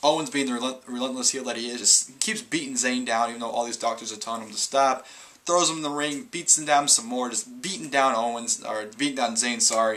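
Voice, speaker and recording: A man talks fairly quickly at medium pitch, with hardly any pauses. His pitch varies in an ordinary way, and noticeable background noise is present. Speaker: wrestling reviewer. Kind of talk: casual solo review. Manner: fast; stumbling over words.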